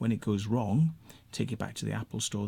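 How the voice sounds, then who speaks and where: A man with a Welsh accent, fairly low in pitch, at a very fast pace. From Wales. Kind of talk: rant to camera. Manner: casual, conversational.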